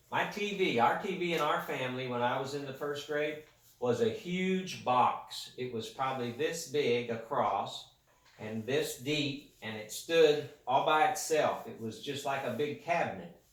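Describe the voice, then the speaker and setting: Amid noticeable background noise and audible room echo, a man with a fairly high pitch speaks at a fairly slow pace with lively intonation. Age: 60s. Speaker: grandparent interviewed by a child. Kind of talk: casual interview.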